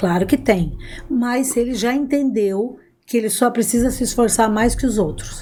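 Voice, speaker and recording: Speaking with a dark, mellow tone, the woman has a fairly high pitch. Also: ordinary pitch variation, moderate pace. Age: 60s. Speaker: adoptive mother. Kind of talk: podcast interview.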